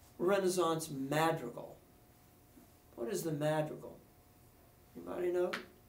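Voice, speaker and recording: Pausing long and often, a man talks at a moderate pace amid audible room echo. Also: fairly high pitch for a man, ordinary pitch variation. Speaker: music professor. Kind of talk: lecture.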